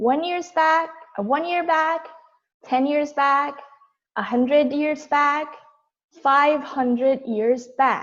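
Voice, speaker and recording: A woman speaks at a high pitch with fairly even intonation. Her pace is very slow, with long, frequent pauses. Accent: Korean. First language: Korean. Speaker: toastmasters member giving prepared speech. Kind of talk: prepared speech. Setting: video call.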